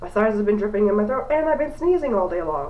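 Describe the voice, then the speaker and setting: Very wide pitch swings with audible room echo. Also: woman. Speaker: beauty vlogger. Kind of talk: tutorial. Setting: bathroom. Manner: casual.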